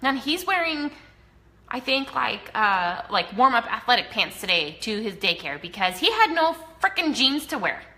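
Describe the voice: Big pitch swings run through a bright, sharp voice with an American accent, delivered at a moderate pace in a room with audible echo. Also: woman, fairly high pitch for a woman.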